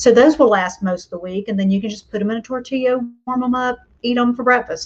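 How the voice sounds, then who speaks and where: A woman at a very fast pace against noticeable background noise. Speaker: homeschool mom and online host. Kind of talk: casual live stream talk. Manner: chatty with fillers.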